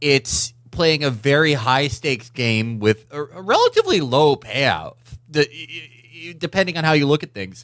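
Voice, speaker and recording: A plain, everyday voice from a man, fairly high in pitch, with ordinary pitch variation, a moderate pace, big swings in loudness and a dry, close sound with no echo. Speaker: political podcast co-host. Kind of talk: casual political chat.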